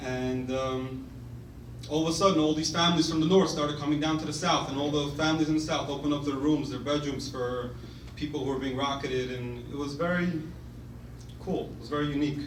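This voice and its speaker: Talking at a very fast pace with a New York accent, a man uses a fairly high pitch and monotone, flat intonation, over noticeable background noise and audible room echo. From Brooklyn, New York (Crown Heights). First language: Russian. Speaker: former soldier and pre-med student. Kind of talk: speech to an audience. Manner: casual, halting with fillers.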